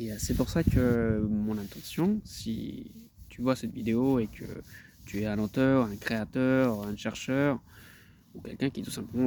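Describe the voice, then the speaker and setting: Speaking at a fairly slow pace, a man with a dark, mellow tone keeps his intonation fairly even. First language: Spanish (speaking French). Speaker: translator. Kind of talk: self-promotional video talk. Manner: halting, many hesitations and repetitions.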